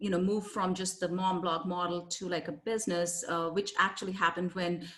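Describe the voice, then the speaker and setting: Her pitch is medium for a woman, rising and falling normally while she keeps a moderate pace. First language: not English. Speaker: copywriter and business owner. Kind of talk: interview.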